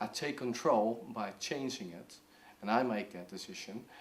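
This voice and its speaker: Speech comes at a moderate tempo. It carries a Dutch accent. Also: man. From Netherlands. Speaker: video blogger sharing mental health experience. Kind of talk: personal tips talk to camera. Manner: halting, many fillers.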